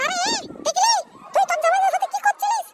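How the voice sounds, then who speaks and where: In a cartoonish character voice, the speaker talks at a very fast pace with an extremely high, squeaky pitch. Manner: scolding.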